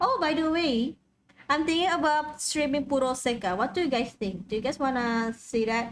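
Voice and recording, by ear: A woman speaks with a high pitch and ordinary pitch variation. Her pace is moderate.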